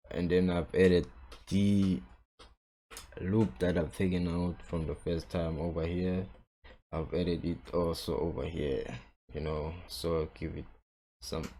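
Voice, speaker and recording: Speaking with a South African accent, a man with a very deep, low pitch and a dark, mellow tone keeps his intonation fairly even, pausing long and often. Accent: South African Xhosa-accented English. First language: Xhosa. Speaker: music producer. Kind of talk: tutorial. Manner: casual, halting with frequent fillers.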